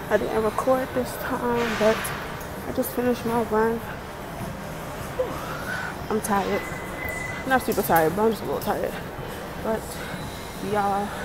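A woman at a moderate pace, long and frequent pauses, loud background noise. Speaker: vlogger. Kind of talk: casual vlog chat. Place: gym. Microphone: earbuds.

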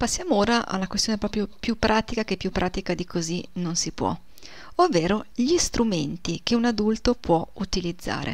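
A woman speaks at a medium pitch with ordinary pitch variation. It is an ordinary speaking voice. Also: moderate pace, very clean recording, silent background. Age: 40s. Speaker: German language teacher. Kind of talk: video lesson.

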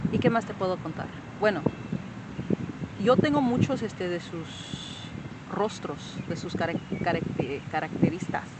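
A woman talks at a fairly slow pace. The sound is dry with no echo, and the background noise is loud. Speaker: vlogger remembering her father. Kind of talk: casual personal talk to camera. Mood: reflective, emotional storytelling. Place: open country. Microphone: phone near.

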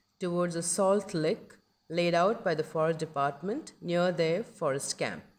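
A woman with an unremarkable speaking voice, a fairly low pitch and a fairly slow pace. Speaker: wildlife documentary narrator. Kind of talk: scripted nature documentary narration, dramatic and reverential. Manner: measured, storytelling pace with awed, hushed reverence.

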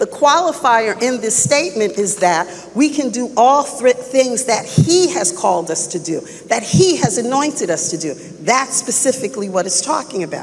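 Her pace is moderate. The woman's pitch rises and falls very widely. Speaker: preacher. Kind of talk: sermon. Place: church.

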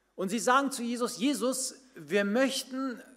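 A man with an extremely high voice speaks at a very slow pace, with ordinary pitch variation against a quiet background. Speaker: pastor. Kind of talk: sermon. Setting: church. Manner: animated, conversational storytelling; direct, addresses listeners as 'du'. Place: church. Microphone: podium.

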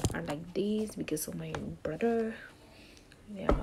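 Noticeable background noise sits behind the speaker, a woman. Her pitch shows ordinary variation. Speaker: vlogger. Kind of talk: casual vlog chat. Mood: relaxed, sleepy, lazy. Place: home room. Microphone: phone near.

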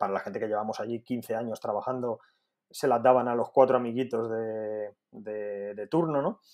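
Against a quiet background, a man talks with fairly even intonation at a moderate pace. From Spain, Alicante area; Spain. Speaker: dietitian; podcast guest. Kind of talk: interview. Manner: halting, frequent repetitions. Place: home room. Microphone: earbuds.

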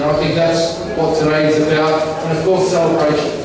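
A man's high-pitched voice in strong room echo, with noticeable background noise. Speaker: mayor. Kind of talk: formal speech. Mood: warm, celebratory. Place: hall.

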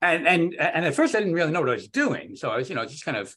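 Using vocal fry, a man talks very fast with very wide pitch swings. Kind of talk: informal technical discussion. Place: home room. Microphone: video call.

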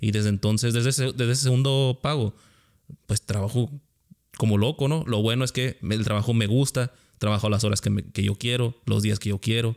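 A man's unremarkable speaking voice at a medium pitch, fairly quick in pace, with very even loudness, fairly even intonation, and a quiet background. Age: 30s. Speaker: podcast host; podcast host or guest. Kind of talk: casual interview chat. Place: home room. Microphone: studio mic.

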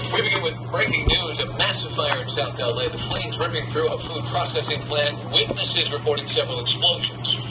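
The speech moves at a fairly quick pace with hardly any pauses. Loud background noise runs underneath. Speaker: news anchor. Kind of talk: TV news broadcast. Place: studio.

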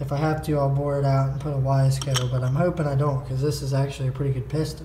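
A man speaks in a flat monotone over noticeable background noise. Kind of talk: casual vlog chat. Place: garage. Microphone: phone near.

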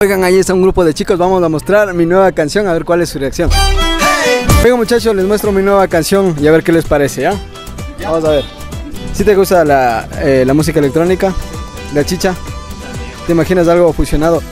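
A man's high voice at a fairly quick pace, with ordinary pitch variation, a dry sound with no echo, and faint music in the background. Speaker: street interviewer. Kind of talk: street interview questions. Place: street. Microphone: lapel.

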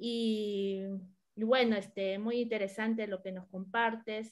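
The woman's intonation stays monotone and flat. She keeps to a moderate pace. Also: quiet background. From Argentina. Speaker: moderator, popular educator. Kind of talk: moderated panel. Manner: halting, many fillers. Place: home room. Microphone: video call.

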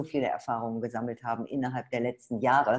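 The tone is animated against a quiet background. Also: woman. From Ruhr area, Dortmund; Ruhr area, Germany. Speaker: webinar host, network marketer; presenter. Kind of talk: sales webinar. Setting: online webinar. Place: home room. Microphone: webcam.

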